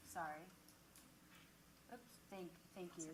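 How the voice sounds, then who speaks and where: Loud and bright, with a sharp tone, a woman talks at a medium pitch. Room echo can be heard. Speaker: crowdfunding platform executive. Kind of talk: panel discussion. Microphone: mic off, then too far from the mic.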